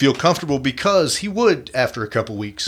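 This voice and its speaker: Playful and bright with a sharp edge, a man's voice moves at a fairly quick pace through very wide pitch swings. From California. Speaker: podcast host. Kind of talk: casual chat. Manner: playful banter.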